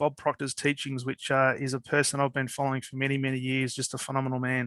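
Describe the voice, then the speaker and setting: Speaking very fast with an Australian accent, a man has a bright, sharp tone, recorded very cleanly against a silent background with a dry, close sound and no echo. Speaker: podcast host. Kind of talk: interview podcast.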